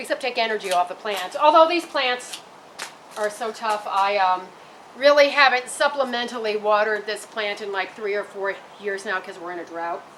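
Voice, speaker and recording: Against noticeable background noise, a woman with a fairly high pitch speaks at a moderate pace with lively intonation. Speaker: gardening video host. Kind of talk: tutorial. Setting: outdoors in garden, on a roof. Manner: halting, frequent stutters and repeats; loud.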